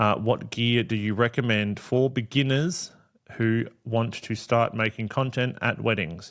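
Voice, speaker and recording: A man with an Australian accent speaks at a medium pitch and a fairly slow pace. His intonation is fairly even, and the recording is very clean with a silent background. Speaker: wedding photographer and podcast host. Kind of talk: solo podcast Q&A. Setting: home studio. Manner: loud; casual, many fillers.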